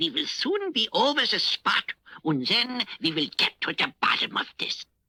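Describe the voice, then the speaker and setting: A man's cartoonish character voice at an extremely high pitch and moderate pace, dry and close with no echo. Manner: courtly, fussy, prone to flustered exclamations.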